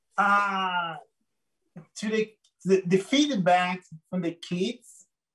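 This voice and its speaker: Speaking very slowly with a Brazilian Portuguese accent, a man with a high pitch shows ordinary pitch variation. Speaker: photographer. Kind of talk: interview. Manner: animated, enthusiastic; halting, many repeated words.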